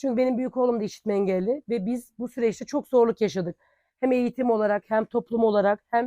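Fairly high-pitched woman's voice with a dark, mellow tone, ordinary pitch variation and a moderate pace, in a dry, close sound with no echo. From Turkey, Denizli (Çardak). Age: 40s. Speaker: local election candidate. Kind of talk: campaign statement.

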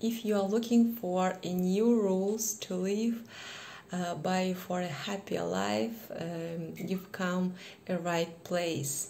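Over light background noise, a woman with a Kazakh accent speaks very slowly with ordinary pitch variation. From Kazakhstan. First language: not English. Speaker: English learner vlogger. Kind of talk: casual lesson talk to camera. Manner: hesitant, many fillers. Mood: cheerful, warm. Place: home room. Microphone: phone near.

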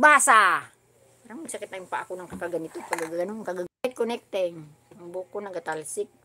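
Over noticeable background noise, a woman talks very fast with lively intonation. Her loudness swings widely. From Philippines. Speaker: YouTube vlogger; craft vlogger. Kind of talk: livestream craft tutorial. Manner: animated. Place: home room.

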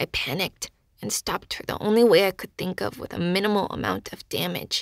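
A woman puts on a raspy character voice at a medium pitch. She talks at a fairly quick pace. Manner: dry, haughty, matter-of-fact.

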